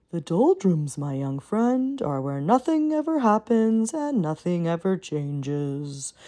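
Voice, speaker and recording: A put-on character voice, female-sounding and fairly low in pitch, with very wide pitch swings, a fairly slow pace, hardly any pauses and a quiet background. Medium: read story. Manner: yawning, sleepy.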